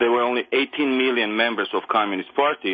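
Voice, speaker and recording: A man with an Armenian accent speaks at medium pitch and a fairly quick pace, with ordinary pitch variation. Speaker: caller. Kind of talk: phone-in call.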